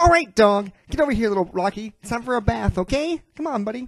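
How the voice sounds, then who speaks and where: In a put-on character voice that sounds female, the speaker rattles along at a very fast pace with a fairly high pitch. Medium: dub. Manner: coaxing, friendly.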